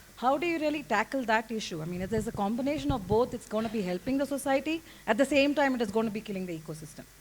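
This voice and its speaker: Somewhat breathy, the voice rushes at a very fast pace with lively intonation. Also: woman. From India, Nilgiris. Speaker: audience member. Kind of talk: audience question.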